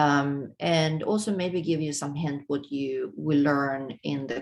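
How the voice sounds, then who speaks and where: This woman talks at a fairly slow pace in a very deep, low pitch, with ordinary pitch variation. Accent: Swedish. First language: Swedish. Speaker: webinar host, moderator. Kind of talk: webinar introduction. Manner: halting, many fillers.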